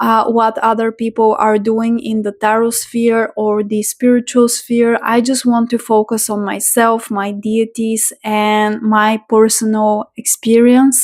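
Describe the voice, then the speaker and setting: Talking at a fairly slow pace with hardly any pauses, a woman with a non-native accent uses a fairly high pitch. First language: not English. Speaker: tarot reader and spiritual content creator. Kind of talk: casual vlog monologue. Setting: home. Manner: unscripted, hesitant with fillers.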